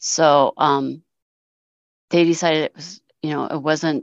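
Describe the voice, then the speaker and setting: A woman speaks in a very deep, low voice. Vocal fry is present. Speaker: ACB voting official. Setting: online video call.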